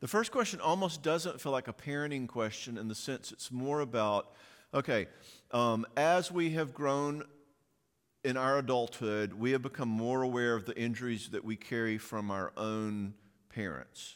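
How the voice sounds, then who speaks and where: On a very clean recording with a silent background, a man of medium pitch talks at a moderate pace with a Southern US accent. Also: ordinary pitch variation. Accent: Southern American. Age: 60s. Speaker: parenting speaker and counselor. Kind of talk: audience Q&A; conference talk. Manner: animated.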